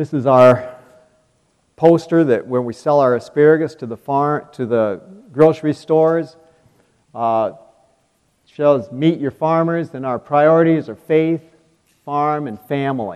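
Speaking fairly slowly with long, frequent pauses, a man with an Upper Midwest accent uses a fairly high pitch, ordinary pitch variation and big swings in loudness. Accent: Upper Midwest American. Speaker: farmer and speaker. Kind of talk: devotional testimony.

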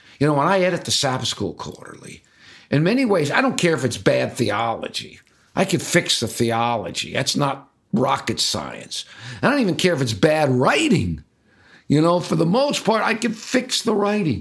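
A man speaks at a moderate pace in a fairly high pitch, with vocal fry and very wide pitch swings. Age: 60s. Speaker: writer and editor. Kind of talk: interview. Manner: conversational, with frequent repetitions.

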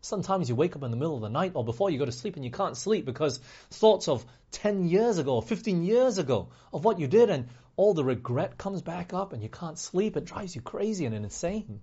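Speaking with an American accent at a fairly quick pace, a man uses a fairly high pitch, big pitch swings, a dark, mellow tone and a slightly husky edge.

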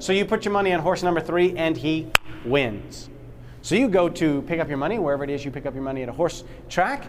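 Talking at a very fast pace in an animated tone, a man is heard with audible room echo and noticeable background noise. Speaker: Bible study instructor. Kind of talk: interactive Bible class lecture. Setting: classroom with live audience. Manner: animated, call-and-response questioning.

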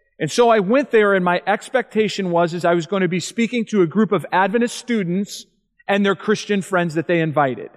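Against a quiet background, a man with a high pitch talks at a fairly quick pace. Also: ordinary pitch variation. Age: 40s. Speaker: evangelist. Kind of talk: seminar talk.

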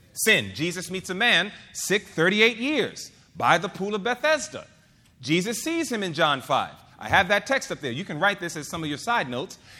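This man's voice is raised and projected, with a bright, sharp tone and a high pitch. He moves at a moderate pace, and his pitch swings very widely. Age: 40s. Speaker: preacher. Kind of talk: sermon. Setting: church.

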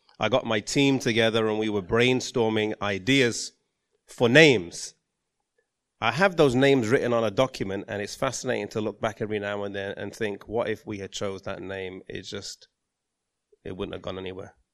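In a plain, everyday voice, a man speaks at a moderate pace with a fairly low pitch, ordinary pitch variation and big swings in loudness. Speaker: theologian and ministry worker. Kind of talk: panel discussion. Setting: conference stage with audience.

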